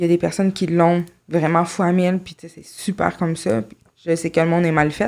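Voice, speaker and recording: The recording is very clean, with a silent background. A woman speaks at a moderate pace with a fairly low pitch. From Quebec, Saint-Jérôme. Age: 20s. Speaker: podcast guest. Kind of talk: interview testimony.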